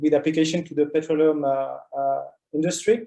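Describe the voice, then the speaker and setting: At a moderate pace, a man with a French accent talks in a fairly high voice with a dark, mellow tone. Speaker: geoscience researcher. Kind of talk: online seminar talk. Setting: online meeting. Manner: halting, many fillers.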